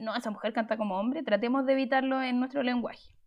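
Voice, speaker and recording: Over music in the background, a woman talks at a high pitch. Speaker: music teacher and podcast host. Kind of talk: livestreamed podcast talk. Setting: live stream.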